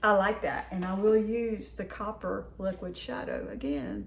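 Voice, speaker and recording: Noticeable background noise behind a woman's voice in an American accent. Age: 60s. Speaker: lifestyle vlogger. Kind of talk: casual haul video talk. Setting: home kitchen.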